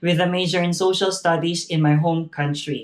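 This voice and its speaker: At a moderate pace, a high-pitched man with a Filipino accent speaks with fairly even intonation. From Philippines. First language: not English (Filipino language). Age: 30s. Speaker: graduate speaker, early childhood educator. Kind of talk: graduation speech. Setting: virtual ceremony, recorded video. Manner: formal.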